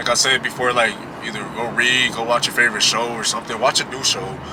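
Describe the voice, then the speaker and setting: Amid noticeable background noise, a man of medium pitch speaks at a fairly quick pace. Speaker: vlogger. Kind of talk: casual motivational vlog talk. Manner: loud when projecting.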